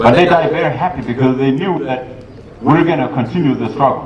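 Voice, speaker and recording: There is noticeable background noise and audible room echo. A man talks at a medium pitch with ordinary pitch variation. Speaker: politician. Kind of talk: public speech. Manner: fast.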